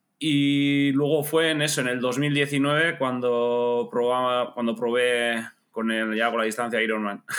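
A man with a Basque accent, very slow and with hardly any pauses, in fairly even intonation. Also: medium pitch for a man. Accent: noticeable Basque Spanish. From Basque Country, Spain (Bergara, Gipuzkoa). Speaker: amateur triathlete. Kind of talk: casual chat.

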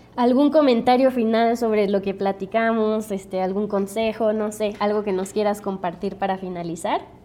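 This woman has a fairly high pitch and an unremarkable speaking voice. She talks at a moderate pace with fairly even intonation. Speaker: podcast host. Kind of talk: interview.

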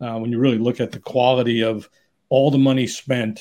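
A man talks with a New York accent at a medium pitch. His delivery has a moderate pace and fairly even intonation. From New York City area. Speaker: executive recruiter. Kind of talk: interview.

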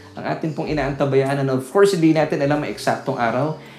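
Audible room echo hangs on a man's speech. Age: 40s. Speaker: pastor. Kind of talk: sermon. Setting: Facebook Live broadcast.

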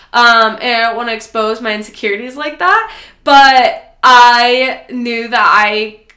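Audible room echo surrounds a woman speaking in an animated tone with an American accent. Her pitch is fairly high, with ordinary variation. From US Midwest, Nebraska. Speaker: podcast host, fitness and lifestyle coach. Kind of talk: casual solo podcast monologue. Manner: animated, conversational.

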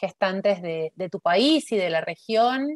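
In a dry, close recording with no echo, a woman speaks at a very slow pace. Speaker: podcast host, academic observatory coordinator. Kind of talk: interview.

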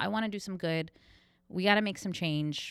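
Very cleanly recorded against a silent background, a woman uses an ordinary speaking voice at a fairly quick pace with ordinary pitch variation. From New York, Cuban-American family. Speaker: sustainable store owner. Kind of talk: casual chat. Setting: in her shop.

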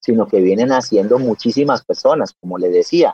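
A man is talking. His voice sounds dry and close, without any echo. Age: 40s. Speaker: dog breeder and architect. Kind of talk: radio interview.

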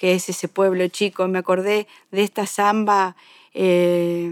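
Very slowly, a woman speaks at a medium pitch. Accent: Rioplatense. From Greater Buenos Aires, Argentina. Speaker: radio host and folk musician. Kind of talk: casual chat.

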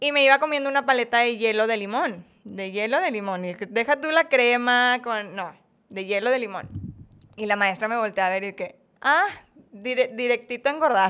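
With lively intonation, an ordinary speaking voice proceeds at a moderate pace. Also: woman, fairly high pitch for a woman. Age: 30s. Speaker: former professional ballet dancer and ballet teacher. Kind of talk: casual interview chat.

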